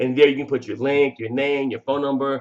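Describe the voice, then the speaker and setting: A man speaks with an animated tone. His voice sits fairly high. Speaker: online marketing coach. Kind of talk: tutorial. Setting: home recording, living room and kitchen. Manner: fast; casual, animated.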